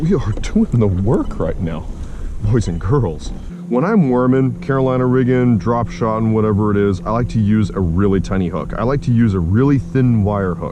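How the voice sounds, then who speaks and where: A man's fairly low voice at a moderate pace, lively intonation and audible room echo. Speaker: fishing vlogger. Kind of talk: casual outdoor vlog. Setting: outdoors on a kayak on a lake. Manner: animated; loud.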